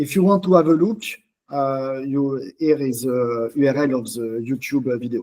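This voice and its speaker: A man with a strong French accent speaks at a moderate pace in a medium pitch, his tone dark and mellow and his pitch varying in an ordinary way. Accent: thick French. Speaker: open-source software community leader. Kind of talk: online community meeting presentation. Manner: halting, many fillers.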